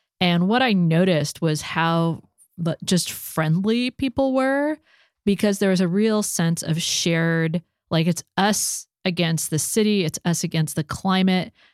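A woman speaks in an ordinary speaking voice with fairly low pitch, ordinary pitch variation, a fairly slow pace and very even loudness. The recording is very clean with a silent background, and the sound is dry and close with no echo. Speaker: podcast host. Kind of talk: casual interview chat.

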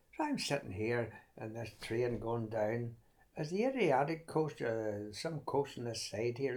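A man with a Northern Irish accent speaks at a medium pitch and a moderate pace, with ordinary pitch variation. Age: 90s. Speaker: veteran runner. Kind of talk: casual chat. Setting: at home. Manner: halting.

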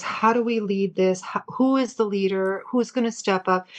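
A woman's medium-pitched voice at a fairly slow pace, an ordinary speaking voice with ordinary pitch variation. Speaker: guest. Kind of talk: casual chat.

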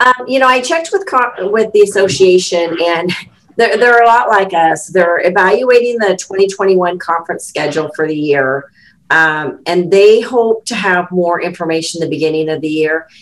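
A woman has an unremarkable speaking voice at a medium pitch. She talks at a moderate pace with lively intonation. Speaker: chapter president. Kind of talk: podcast interview.

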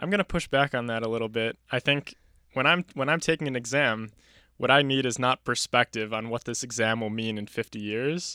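A man speaks at a medium pitch and a fairly quick pace, with a bright, sharp tone and ordinary pitch variation. The recording is very clean with a silent background and a dry, close sound with no echo. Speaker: podcast co-host, college student. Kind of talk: casual conversation podcast.

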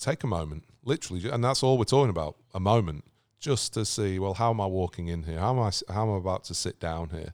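A man with a British accent talks very fast, using ordinary pitch variation. The recording is very clean, with a silent background and a dry, close sound with no echo. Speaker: podcast host and author. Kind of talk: casual interview chat. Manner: conversational, hesitant with fillers.

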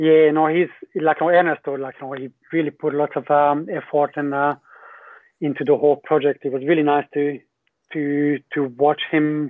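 This man has a fairly high voice and a Hungarian accent. He speaks at a moderate pace with monotone, flat intonation. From Hungary. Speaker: skydiving company general manager. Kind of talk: casual interview. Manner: halting, many filler words.

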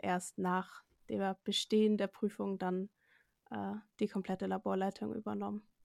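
The speaker delivers monotone, flat intonation at a moderate pace, the sound dry and close with no echo on a very clean recording with a silent background. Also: woman. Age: 20s. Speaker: medical assistant. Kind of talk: interview.

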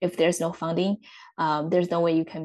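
A woman with a Chinese accent speaks in a fairly low pitch, her tone dark and mellow. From central China. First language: Mandarin Chinese. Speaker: startup support specialist at a development agency. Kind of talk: interview. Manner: hesitant with many fillers.

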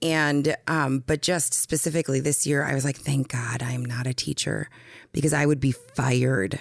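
In a very clean recording with a silent background, a woman with an American accent speaks at a moderate pace in a very deep, low voice with vocal fry and fairly even intonation. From North Dakota, US. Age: 30s. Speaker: guest, educator and advocate. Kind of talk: casual interview, personal storytelling.

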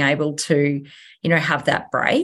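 A woman with an Australian accent speaks against a quiet background. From Australia, Sunshine Coast Queensland. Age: 30s. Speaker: real estate agent. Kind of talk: interview.

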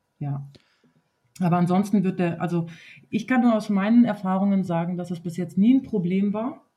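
A woman's medium-pitched, somewhat breathy voice with a dark, mellow tone, moderate pace, ordinary pitch variation and long, frequent pauses. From southern Germany (Wertheim, Baden-Württemberg). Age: 30s. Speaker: nursery teacher and dance instructor. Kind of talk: casual conversation.

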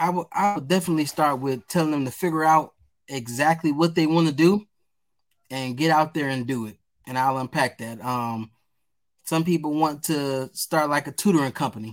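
A man with an American accent and an unremarkable speaking voice talks at a moderate pace in a fairly high pitch with ordinary pitch variation, captured in a very clean recording with a silent background. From Detroit, east side. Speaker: nonprofit founder. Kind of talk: interview answers.

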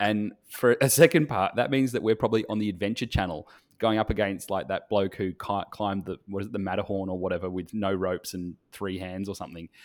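A man with an Australian accent and a fairly low pitch speaks at a very fast pace with hardly any pauses and ordinary pitch variation. The recording is very clean, with a silent background. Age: 30s. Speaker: photographer and podcast co-host. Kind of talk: casual chat.

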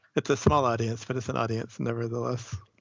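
Delivered at a fairly quick pace, the speech carries vocal fry and an American accent. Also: man. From Boston, US. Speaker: poet and writer. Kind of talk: interview.

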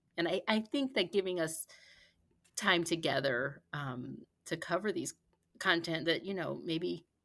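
With lively intonation, a woman speaks in an American accent. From US Midwest, Gary, Indiana. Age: 40s. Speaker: school counselor. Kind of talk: casual chat.

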